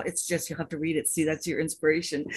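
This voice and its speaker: With a quiet background, a woman speaks in a somewhat breathy voice at a fairly low pitch. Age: 70s. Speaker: author and anthology compiler. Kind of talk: speech to an online audience. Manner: enthusiastic.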